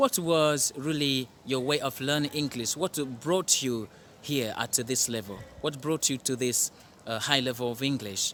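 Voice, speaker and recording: At a fairly slow pace, a man of medium pitch talks in a plain, everyday voice with ordinary pitch variation. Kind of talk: interviewer questions.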